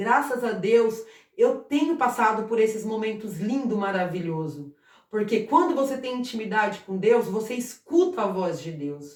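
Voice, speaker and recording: Fairly high in pitch, a woman speaks at a fairly slow pace with very wide pitch swings and big swings in loudness. Audible room echo surrounds her voice. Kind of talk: informal Bible talk to camera. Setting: at home. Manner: halting, repeats words.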